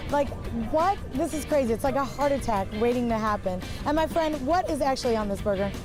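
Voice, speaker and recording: An upbeat, high-pitched woman at a fairly quick pace, lively in intonation and very even in loudness, over background music. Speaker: TV reporter and host. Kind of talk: casual on-location TV hosting. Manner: upbeat, lively.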